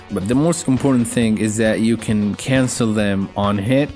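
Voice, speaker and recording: Over music in the background, a man with a medium pitch speaks at a moderate pace with fairly even intonation. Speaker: fighting game guide creator. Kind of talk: game tutorial narration.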